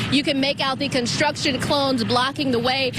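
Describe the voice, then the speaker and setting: A high-pitched woman against noticeable background noise. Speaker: TV news reporter. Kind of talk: live TV news report. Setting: outdoors.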